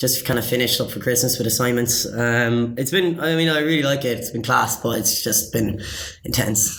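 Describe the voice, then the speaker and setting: Amid noticeable background noise and audible room echo, a man with a Cork accent speaks at a fairly quick pace. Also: medium pitch for a man, ordinary pitch variation. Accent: Cork Irish. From Ireland, Cork. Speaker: master's student. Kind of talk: casual chat. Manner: halting, many fillers.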